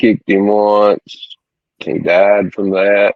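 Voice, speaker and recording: Very slow speech with an East Tennessee accent. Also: man. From East Tennessee, small town. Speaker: ex-prisoner. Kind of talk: interview, personal story. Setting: podcast.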